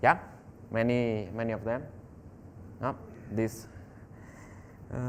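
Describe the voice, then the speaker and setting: This man speaks fairly slowly with a non-native accent, at medium pitch, with fairly even intonation. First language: not English. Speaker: software developer, tech speaker. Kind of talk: technical talk. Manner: halting, many fillers.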